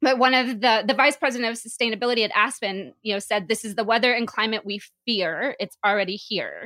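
Fairly quick and fairly high-pitched, a woman's bright, sharp voice comes through a very clean recording with a silent background. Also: ordinary pitch variation, hardly any pauses. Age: 30s. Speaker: podcast co-host. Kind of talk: casual chat.

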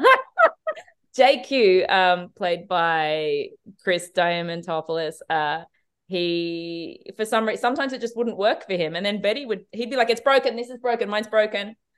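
A woman speaks with an Australian accent. Her pitch sits in the middle of the female range. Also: lively intonation, moderate pace. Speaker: TV director. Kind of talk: interview.

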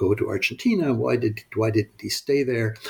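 With lively intonation, a man speaks at medium pitch in a somewhat breathy voice. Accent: Canadian. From Canada, Montreal. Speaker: professor and author. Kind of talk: interview. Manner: halting, many fillers and repetitions.

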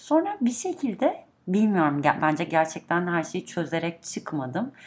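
A woman at a fairly slow pace, in a plain, everyday voice. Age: 30s. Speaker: podcast guest, longtime listener. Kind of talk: casual chat.

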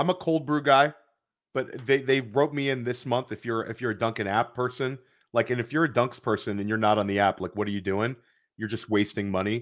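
The recording is very clean, with a silent background. A man talks in an ordinary speaking voice at a fairly quick pace, with medium pitch and ordinary pitch variation. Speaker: podcast host. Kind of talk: casual chat about fantasy football.

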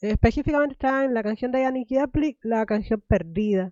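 This woman has an ordinary speaking voice, pitched fairly high, with lively intonation. She talks at a moderate pace. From Cuba. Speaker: podcast host. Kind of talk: interview podcast.

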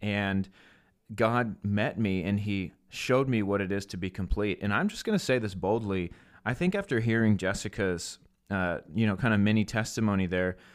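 A man's fairly low voice at a moderate pace, with fairly even intonation, on a very clean recording with a silent background. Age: 30s. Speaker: podcast host and minister. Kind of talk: casual faith podcast chat.

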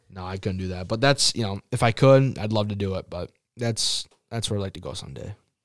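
An unremarkable speaking voice, a man with an American accent talks at a fairly quick pace with ordinary pitch variation and big swings in loudness, the sound dry and close with no echo on a very clean recording with a silent background. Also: fairly low pitch for a man. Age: 20s (about 20). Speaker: pizza shop worker and mason. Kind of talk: casual chat. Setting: studio.

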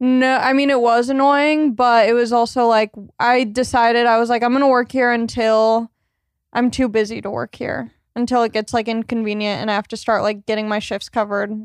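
Spoken with an American accent in a flat monotone, the speech moves at a fairly quick pace against a quiet background. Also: woman, fairly high pitch for a woman. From southern California. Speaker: stand-up comedian. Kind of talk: casual chat.

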